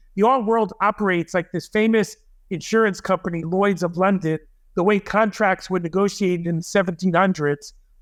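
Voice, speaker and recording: A man talks at a moderate pace with a high pitch and fairly even intonation. The sound is dry and close with no echo, and the background is quiet. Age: 60s. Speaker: artist and curator. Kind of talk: interview.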